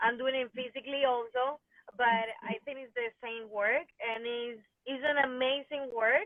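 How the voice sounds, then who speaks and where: A Venezuelan accent with fairly even intonation at a moderate pace. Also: woman. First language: Spanish. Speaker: fitness and dance studio owner. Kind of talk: interview chat. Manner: halting.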